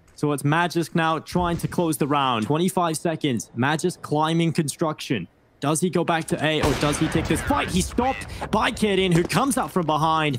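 An animated tone at a moderate pace, with music in the background. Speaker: esports caster. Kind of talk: live esports play-by-play commentary. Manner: animated, exclamatory bursts at clutch moments.

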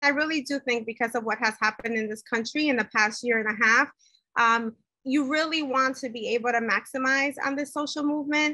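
Recorded dry with no echo, a woman speaks in a high pitch with a bright, sharp tone. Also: quiet background. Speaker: professional association president. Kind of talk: interview. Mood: earnest, engaged. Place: home room. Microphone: video call.

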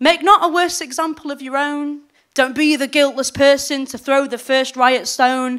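Over a quiet background, a woman speaks at a moderate pace with a high pitch. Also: fairly even intonation. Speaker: slam poet. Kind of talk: spoken-word poetry performance with rhymes. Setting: stage with live audience. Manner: rhythmic, emphatic, declamatory delivery. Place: stage. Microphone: handheld.

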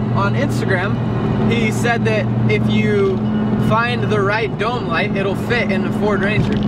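Delivered at a fairly slow pace, the speech has a dry sound with no echo despite loud background noise. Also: man. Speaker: vlogger. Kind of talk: casual vlog chat. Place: car.

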